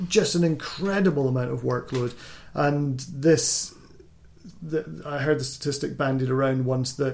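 A man speaks at a moderate pace with a Scottish accent. His voice is somewhat breathy. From Scotland. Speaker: doctor and podcast host. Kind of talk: casual chat.

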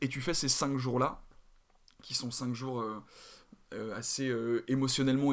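A man talks in a plain, everyday voice at a medium pitch, his intonation fairly even. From Paris, France. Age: 20s. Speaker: drama student and actor. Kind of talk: casual interview.

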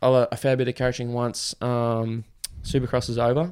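Speaking with an Australian accent, a man keeps a monotone, flat intonation. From Australia, Queensland. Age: 20s. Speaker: professional motocross rider. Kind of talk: casual interview chat.

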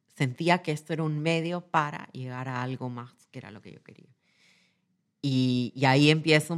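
This woman's pitch is very deep and low. She speaks at a moderate pace with ordinary pitch variation. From Peru, Lima. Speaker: corporate executive. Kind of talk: interview testimony. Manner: halting, repetitive.

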